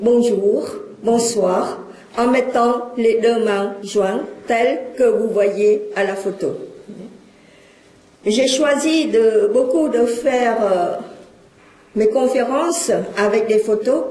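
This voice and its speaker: In a Cambodian accent, a woman speaks at a very slow pace with long, frequent pauses, a fairly high pitch, ordinary pitch variation and very even loudness, recorded with audible room echo and noticeable background noise. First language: Khmer (speaking French). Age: 60s. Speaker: lecturer and witness of exile. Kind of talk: public lecture.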